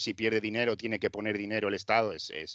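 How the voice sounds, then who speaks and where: This man talks at a very fast pace with fairly even intonation and a fairly low pitch. The sound is dry and close with no echo, over a quiet background. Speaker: football correspondent. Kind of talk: casual chat.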